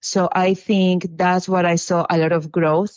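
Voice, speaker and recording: A woman with a Peruvian accent at a very slow pace, dry and close with no echo, on a very clean recording with a silent background. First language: Spanish. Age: 40s. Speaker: social media influencer and small business owner. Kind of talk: casual interview chat.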